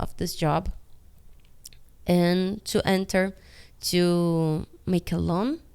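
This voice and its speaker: A woman speaks with a Portuguese accent. Her pitch is medium and her intonation fairly even. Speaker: animator. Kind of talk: casual vlog monologue. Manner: halting.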